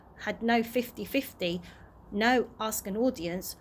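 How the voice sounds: What we hear is a natural reading voice.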